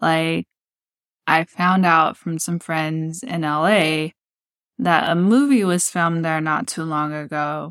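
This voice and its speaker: On a very clean recording with a silent background, a woman with an American accent speaks at a fairly low pitch with ordinary pitch variation, in a dry, close sound with no echo. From Texas Gulf Coast, Texas City. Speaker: podcast host, fashion brand founder. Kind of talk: solo personal storytelling podcast.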